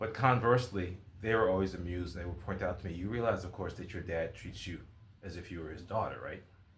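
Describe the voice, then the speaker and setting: A man speaks at a very fast pace with a very deep, low pitch and a somewhat breathy quality. His intonation is fairly even, his loudness swings widely, and audible room echo surrounds him. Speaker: writer and video blogger. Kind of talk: casual vlog monologue.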